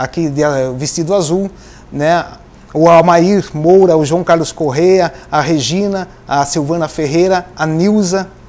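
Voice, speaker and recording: The man's pitch is high, and his intonation stays fairly even. He speaks at a fairly slow pace. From Votorantim, São Paulo state, Brazil; São Paulo state, Brazil. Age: 50s. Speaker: interview guest. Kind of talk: TV interview; interview answer. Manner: halting. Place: studio. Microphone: lapel.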